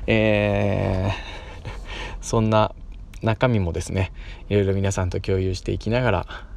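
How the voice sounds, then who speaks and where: A man speaks over noticeable background noise. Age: 30s. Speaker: podcaster and schoolteacher. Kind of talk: casual monologue. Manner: hesitant, many fillers.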